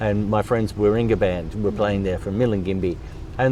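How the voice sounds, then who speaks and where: There is noticeable background noise as a man with an Australian accent talks at a moderate pace in a fairly low pitch. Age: 70s. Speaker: drummer and charity founder. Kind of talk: interview.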